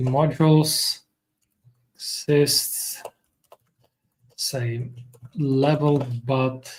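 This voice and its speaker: A man with a non-native accent speaks very slowly at a fairly high pitch. His intonation is monotone and flat, with long, frequent pauses. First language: not English. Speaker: software developer streamer. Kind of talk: live coding stream. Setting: live stream. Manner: halting, many fillers.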